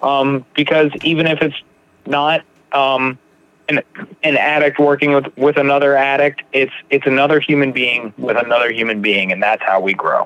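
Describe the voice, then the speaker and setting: A normal speaking voice moves at a moderate pace. Its intonation is fairly even. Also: man, fairly high pitch for a man. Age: 30s. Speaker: podcast host, person in recovery. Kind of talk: casual interview chat.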